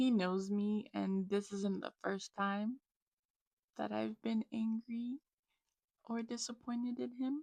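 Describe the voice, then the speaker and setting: Speaking at a very slow pace with long, frequent pauses, a woman has a fairly high pitch and a dark, mellow, somewhat breathy tone. Her intonation is fairly even, and the sound is dry and close with no echo. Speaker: faith and health vlogger. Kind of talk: personal testimony vlog. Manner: halting.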